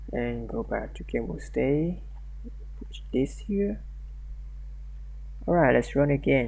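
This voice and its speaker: A man with a non-native accent talks at a very slow pace, leaving long, frequent pauses, and audible room echo surrounds his voice. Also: big swings in loudness. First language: not English. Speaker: programming tutorial creator. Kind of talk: tutorial. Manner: halting, many fillers and restarts.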